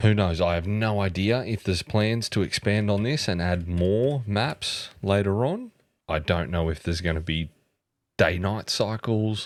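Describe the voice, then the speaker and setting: A man with an Australian accent speaks in an enthusiastic tone at a fairly low pitch and fairly slow pace, with ordinary pitch variation. The recording is very clean, the background silent. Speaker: gaming youtuber and photographer. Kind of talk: game demo commentary. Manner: casual, enthusiastic.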